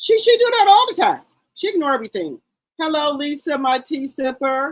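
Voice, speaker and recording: Loud and high-pitched, a woman talks at a fairly quick pace with very wide pitch swings. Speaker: YouTube live streamer, gossip commentator. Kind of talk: casual live stream chat. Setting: live stream.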